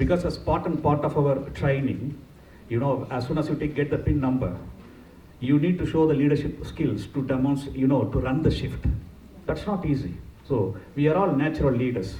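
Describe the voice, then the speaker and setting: A man with a Tamil accent speaks at a moderate pace in a fairly high pitch, with ordinary pitch variation and audible room echo. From India, Pondicherry. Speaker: nurse manager, conference speaker. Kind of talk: conference talk. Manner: engaging, asks audience questions.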